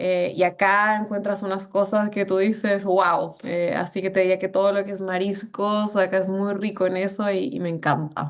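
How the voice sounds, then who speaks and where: Moderate pacing, hardly any pauses, and fairly even intonation. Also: woman, medium pitch for a woman. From Colombia, Bogotá. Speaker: business executive. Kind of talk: interview. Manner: many fillers and hesitations.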